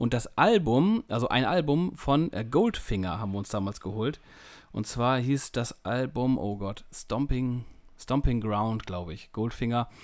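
With lively intonation, an unremarkable speaking voice proceeds at a fairly slow pace. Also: man, medium pitch for a man. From northern Germany, East Frisia near Emden. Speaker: music magazine editor, co-host. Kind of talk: casual chat. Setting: remote call.

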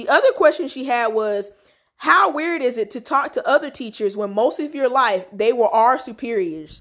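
A woman with a Southern US accent speaks in a high voice with lively intonation. Her loudness swings widely. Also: moderate pace. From North Carolina. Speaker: podcast host. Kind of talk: casual chat.

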